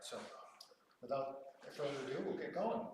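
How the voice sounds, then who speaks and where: There is noticeable background noise. Audible room echo surrounds the voice. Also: man. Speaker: moderator. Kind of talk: public forum moderation. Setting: church hall with audience, no mics. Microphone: no microphone, projecting.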